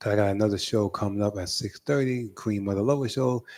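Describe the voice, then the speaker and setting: A man with a strong New York accent and a dark, mellow tone, at a fairly quick pace with ordinary pitch variation, in a very clean recording with a silent background. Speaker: radio host. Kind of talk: radio interview. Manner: halting, many fillers.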